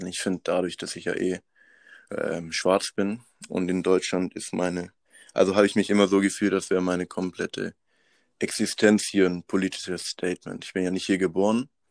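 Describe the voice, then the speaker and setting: In a very clean recording with a silent background, a man with a very deep, low voice speaks at a moderate pace in monotone, flat intonation, the sound dry and close with no echo. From Madagascar. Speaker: student activist. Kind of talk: casual interview.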